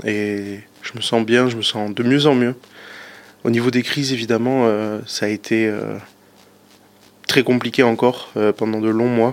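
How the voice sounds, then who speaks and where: A medium-pitched man with monotone, flat intonation and long, frequent pauses. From southwestern France, Pau. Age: 20s. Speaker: eating disorder testimony guest. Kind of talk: recorded personal update.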